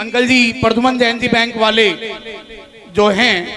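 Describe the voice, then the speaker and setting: Extremely high, monotone male voice, raised and projected, with flat intonation over noticeable background noise. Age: 40s. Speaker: donor family representative. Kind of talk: public address at religious event.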